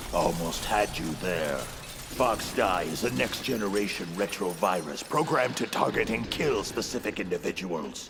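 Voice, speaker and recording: A put-on character voice at a moderate pace with hardly any pauses, over clear background noise. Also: man, very deep, low pitch for a man. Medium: read story. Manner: solemn, formal, grandiose.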